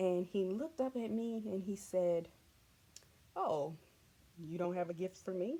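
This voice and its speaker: A dark, mellow tone at a fairly slow pace, with long, frequent pauses and ordinary pitch variation. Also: woman, medium pitch for a woman. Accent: Southern US. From US South. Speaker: vlogger. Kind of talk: casual storytelling. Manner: animated.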